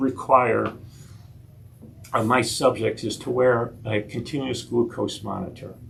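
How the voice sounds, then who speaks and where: At a very slow pace with long, frequent pauses, a man speaks at medium pitch amid audible room echo. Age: 60s. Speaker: nurse practitioner giving a health talk. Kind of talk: lecture. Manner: halting, frequent repetitions.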